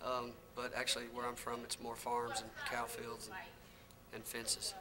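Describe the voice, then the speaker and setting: A man speaks at a moderate pace, with noticeable background noise and audible room echo. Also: medium pitch for a man, fairly even intonation. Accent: Southern US. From North Florida / South Georgia. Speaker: country singer. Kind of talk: interview. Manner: casual, many fillers.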